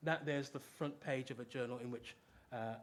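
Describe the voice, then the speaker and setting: A man with a British accent at a fairly quick pace, with ordinary pitch variation. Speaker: professor. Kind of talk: lecture. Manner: fast.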